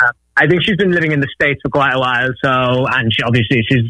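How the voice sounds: A man talks at a fairly quick pace. His medium-pitched voice has a bright, sharp tone.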